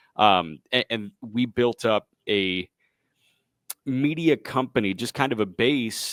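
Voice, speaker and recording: A normal speaking voice with lively intonation, on a very clean recording with a silent background. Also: man. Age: 20s. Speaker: baseball radio play-by-play announcer. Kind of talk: podcast interview answer. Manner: conversational, fluent.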